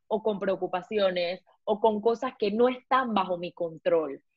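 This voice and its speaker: Speaking at a fairly slow pace, a woman uses an animated tone. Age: 20s. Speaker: beauty blogger and pilot, former beauty queen. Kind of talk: casual interview.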